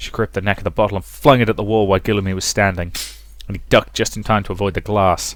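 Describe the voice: A man speaks at a fast pace with a fairly low pitch and fairly even intonation.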